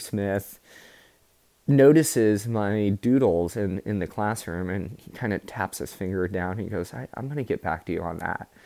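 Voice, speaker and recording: A man speaks at a fairly slow pace in a dark, mellow tone. His fairly low pitch shows ordinary variation. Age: 30s. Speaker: podcast host. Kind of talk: personal storytelling monologue. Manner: filler-heavy, hesitant.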